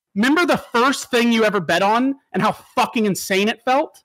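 This man has a high-pitched voice. He talks at a moderate pace. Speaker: contestant on streamer panel show. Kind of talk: casual chat. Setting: video call. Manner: animated.

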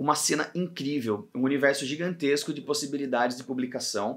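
Against a quiet background, a man with a fairly high pitch speaks at a fairly quick pace. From Brazil, São Paulo state (Pedreira); São Paulo state, Brazil. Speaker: comic artist and illustrator; comics creator. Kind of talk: scripted talk to camera. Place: home room.

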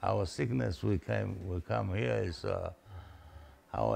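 A man with vocal fry, a very deep, low pitch, a dark, mellow tone and a very slow pace. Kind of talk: interview answer. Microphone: lapel.

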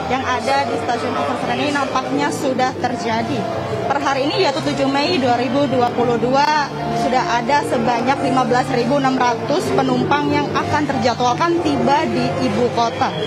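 A woman at a fairly slow pace, with loud music in the background. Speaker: field news reporter. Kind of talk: live news report. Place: station. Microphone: handheld.

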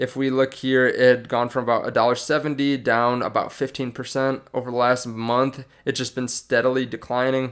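A man speaks in a monotone, flat intonation at a fairly slow pace, with hardly any pauses. The background is quiet. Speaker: stock market YouTuber. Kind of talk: casual video commentary. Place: home room. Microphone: studio mic.

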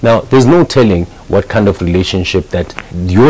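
A man speaks at a moderate pace with ordinary pitch variation. Light background noise is present. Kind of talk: casual advice talk to camera. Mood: earnest, persuasive.

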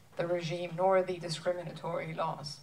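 At a moderate pace, a woman with an unremarkable speaking voice talks at a fairly low pitch. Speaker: interviewer. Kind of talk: panel Q&A. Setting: stage with audience. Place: stage.

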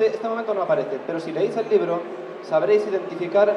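Noticeable background noise is present throughout. The voice belongs to a man. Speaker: illustrator on a panel. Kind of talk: panel talk explaining his artwork. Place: hall. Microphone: pa.

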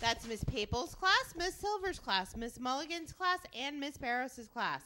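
With a raised, projected voice and a bright, sharp tone, a woman speaks at a moderate pace over a quiet background. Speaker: school staff announcer. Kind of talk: school announcements. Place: studio. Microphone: handheld.

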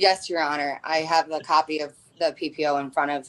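With an American accent, a woman talks at a moderate pace and fairly even intonation. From US Midwest. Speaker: nurse. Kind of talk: testimony. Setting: video call. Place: home room. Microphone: video call.

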